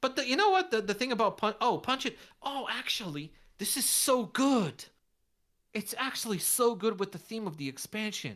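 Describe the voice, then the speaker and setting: With vocal fry and very wide pitch swings, a woman talks at a moderate pace in a fairly high pitch. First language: not English. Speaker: card game content creator, contest judge. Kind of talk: casual chat judging fan card designs. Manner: halting, many restarts.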